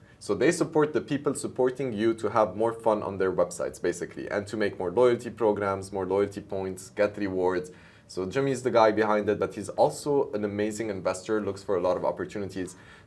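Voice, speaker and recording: A man talks at a fairly quick pace with hardly any pauses and ordinary pitch variation, in a normal speaking voice. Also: fairly low pitch for a man. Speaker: show host and startup founder. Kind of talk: interview show.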